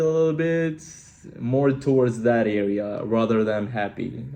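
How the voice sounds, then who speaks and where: Audible room echo surrounds a man's dark, mellow voice, which sits at a medium pitch and shows ordinary pitch variation. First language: Albanian. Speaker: singer-songwriter. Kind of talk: interview. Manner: casual, hesitant with fillers.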